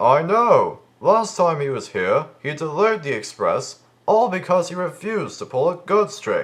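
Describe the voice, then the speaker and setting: Using a put-on character voice, a man speaks at a high pitch and a moderate pace. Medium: audio drama.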